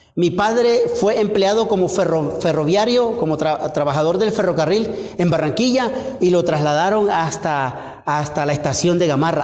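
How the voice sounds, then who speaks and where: Amid noticeable background noise and audible room echo, a man with a Colombian Caribbean accent speaks in a high pitch with lively intonation and very even loudness. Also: moderate pace. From Colombia, Caribbean coast (Cesar). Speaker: pastor. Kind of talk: sermon. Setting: church. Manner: halting, repeats words.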